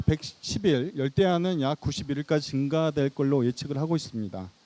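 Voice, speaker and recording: A man's dark, mellow tone at a moderate pace, in a dry, close sound with no echo. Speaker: city water department director. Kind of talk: presentation talk. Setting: outdoor stage with audience.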